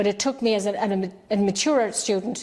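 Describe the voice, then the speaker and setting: A woman with an Irish accent speaks over noticeable background noise. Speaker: children's author, poet and activist. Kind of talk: interview answer.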